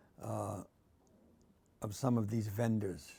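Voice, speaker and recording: A man with a Boston accent speaks fairly slowly in a dark, mellow tone. His intonation stays fairly even. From Massachusetts, Quincy. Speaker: art professor. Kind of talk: interview. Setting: art studio.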